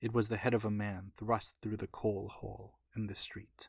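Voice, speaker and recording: A soft-spoken man with a fairly low, somewhat breathy voice talks at a moderate pace in a flat monotone, recorded with a dry, close sound and no echo. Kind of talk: audiobook reading. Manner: soft-spoken, mellow.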